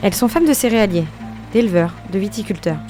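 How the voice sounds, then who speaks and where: Speech moves at a fairly quick pace with lively intonation. Music plays in the background. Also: woman. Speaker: podcast host. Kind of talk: podcast intro narration.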